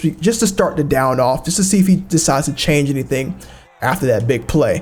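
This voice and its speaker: Noticeable background noise accompanies a man talking at a very fast pace. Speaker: video game tutorial creator. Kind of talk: gameplay tutorial commentary. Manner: casual, with fillers.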